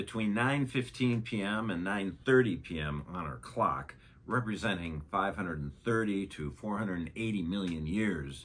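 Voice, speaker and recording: A man speaks at a fairly low pitch and a fairly slow pace. His pitch swings very widely. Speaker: science educator. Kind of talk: educational narration.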